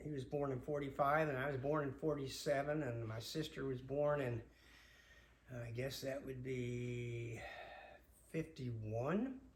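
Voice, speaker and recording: A man with an American accent speaks at medium pitch, somewhat breathy and fairly slow. His intonation is fairly even, and audible room echo is present. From Long Island, New York. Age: 70s. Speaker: father telling family memories. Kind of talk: personal storytelling. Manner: halting, many filler words.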